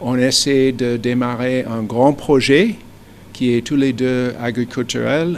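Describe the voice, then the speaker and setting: There is noticeable background noise. Over it, a man talks at a very slow pace. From United States. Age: 60s. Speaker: businessman. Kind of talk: interview. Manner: halting, frequent hesitations.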